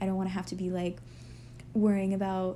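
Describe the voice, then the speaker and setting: Speaking with an American accent, a woman uses a medium pitch and a dark, mellow, somewhat breathy tone at a moderate pace. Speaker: lifestyle vlogger. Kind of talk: casual chat. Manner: halting.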